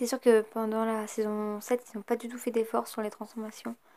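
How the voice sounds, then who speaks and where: At a moderate pace, a woman speaks in a dark, mellow tone with monotone, flat intonation. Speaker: YouTuber. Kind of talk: casual vlog talk. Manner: hesitant with many fillers.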